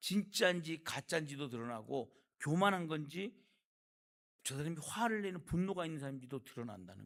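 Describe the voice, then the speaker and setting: His pitch fairly high, a man speaks at a moderate pace with very wide pitch swings. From Gangwon Province, Korea (Jeongseon). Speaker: pastor. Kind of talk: sermon. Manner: call-and-response questions to congregation.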